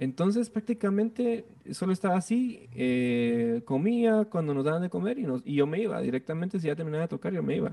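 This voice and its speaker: A man's high voice at a fairly quick pace, with very wide pitch swings and hardly any pauses. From Guatemala. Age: 20s. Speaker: music producer and bassist. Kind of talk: interview.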